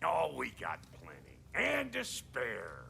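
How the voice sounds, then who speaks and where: In a put-on character voice, a man speaks very slowly and raspily against clear background noise. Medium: video game. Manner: blunt, slangy, brash.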